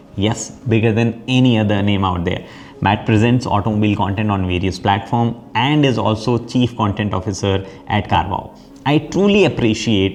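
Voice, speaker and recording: With an Indian accent, a man speaks at a fairly low pitch and with fairly even intonation. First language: Hindi. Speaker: automotive YouTuber and podcast host. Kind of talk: scripted introduction to camera; casual interview conversation.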